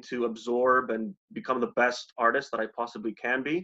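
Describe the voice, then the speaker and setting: In a Canadian accent, a man speaks at a fairly slow pace with a bright, sharp tone against a quiet background. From Poland, moved to Canada as a child. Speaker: artist; interviewee. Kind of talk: interview. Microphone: video call.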